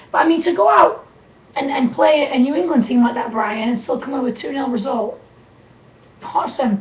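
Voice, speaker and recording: Animated in tone, a woman talks at a high pitch with ordinary pitch variation and a fairly quick pace. Long, frequent pauses break up her speech, and noticeable background noise is present. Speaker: sports talk show co-host. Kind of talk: casual chat. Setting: live webcast studio.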